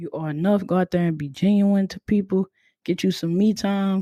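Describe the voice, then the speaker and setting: In a very clean recording with a silent background and a dry, close sound with no echo, a woman with a dark, mellow tone talks at a medium pitch and moderate pace with fairly even intonation. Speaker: podcast host. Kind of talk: casual podcast monologue. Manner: monotone.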